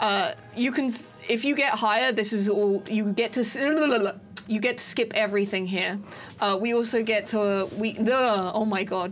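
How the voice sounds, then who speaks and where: Over music in the background, a woman speaks at a moderate pace with a fairly high pitch, fairly even intonation and very even loudness. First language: not English. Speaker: speedrunner, gaming tutorial creator. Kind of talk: gameplay tutorial. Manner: halting, many fillers and restarts.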